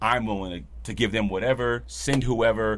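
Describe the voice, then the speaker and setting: An animated male voice with vocal fry, lively intonation and a fairly quick pace. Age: 30s. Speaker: podcast host and barber. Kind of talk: casual chat.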